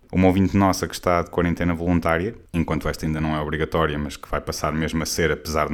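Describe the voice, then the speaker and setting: A man's very deep, low voice at a very fast pace, with a European Portuguese accent. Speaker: podcast host. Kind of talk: casual comedic monologue.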